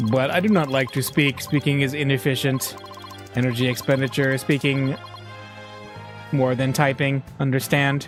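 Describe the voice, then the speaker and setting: A man uses a put-on, robotic character voice at medium pitch and a moderate pace. Clear music plays in the background. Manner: flat, monotone, clipped.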